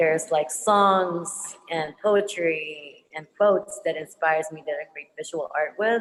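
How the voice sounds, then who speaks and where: Speaking at a fairly slow pace with a Filipino accent, a woman has a fairly low pitch and ordinary pitch variation. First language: Tagalog. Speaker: visual artist, muralist. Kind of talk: panel Q&A answer. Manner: halting, many fillers.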